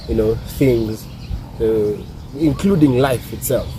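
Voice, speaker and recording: A man's voice over noticeable background noise. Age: young. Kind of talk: reflective monologue to camera. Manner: thoughtful, hesitant.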